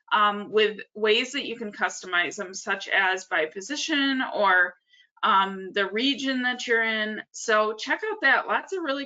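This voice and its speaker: In a plain, everyday voice, a woman talks at a fairly slow pace and medium pitch with ordinary pitch variation. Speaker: nonprofit association staff presenter. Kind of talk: webinar tutorial. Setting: online webinar with screen share.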